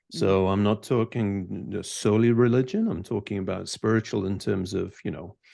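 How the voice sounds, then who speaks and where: A man speaks in a Scottish accent with a fairly low pitch. His pace is fairly quick, and the background is quiet. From Scotland. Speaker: CEO, author, leadership mentor. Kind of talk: podcast interview answer.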